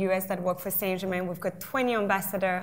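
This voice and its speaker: A woman's medium-pitched voice in a French accent. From south of France. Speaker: drinks brand ambassador. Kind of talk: panel discussion.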